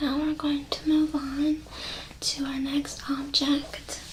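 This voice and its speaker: A woman speaks very slowly and softly in a high, flat monotone, with noticeable background noise behind her. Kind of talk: ASMR mindfulness exercise, soft-spoken talk to camera. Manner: soft-spoken, slow, calming.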